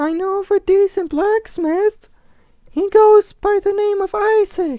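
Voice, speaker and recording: A squeaky put-on character voice at a fairly slow pace. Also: man, extremely high pitch for a man. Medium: read story.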